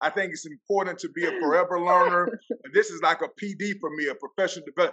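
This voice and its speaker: A man's raised, projected voice with an American accent, high-pitched and at a fairly quick pace. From Florida Panhandle, US South. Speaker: football coach and keynote speaker. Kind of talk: casual interview. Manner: loud.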